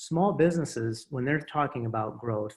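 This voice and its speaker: A man talks in a Midwestern accent. His pitch sits in the medium range. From US Midwest. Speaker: small business advocacy director. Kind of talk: interview. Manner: halting, many repeated words.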